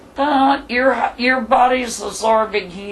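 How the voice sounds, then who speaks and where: Very slow speech amid noticeable background noise. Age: 60s. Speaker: widow telling her life story. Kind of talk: interview. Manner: animated.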